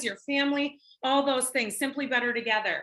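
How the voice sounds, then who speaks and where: Bright and sharp in tone, a woman with an American accent speaks in a raised, projected voice at a high pitch. Her delivery is animated and fairly quick. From Minnesota. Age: 40s. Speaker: network marketing presenter. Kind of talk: sales pitch.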